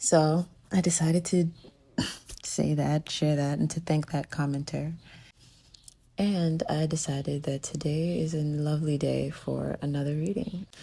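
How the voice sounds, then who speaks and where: A woman with a very deep, low pitch and a dark, mellow tone speaks somewhat breathily at a fairly slow pace, with fairly even intonation and long, frequent pauses. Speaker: tarot reader. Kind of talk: spiritual reading monologue. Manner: slow and clear.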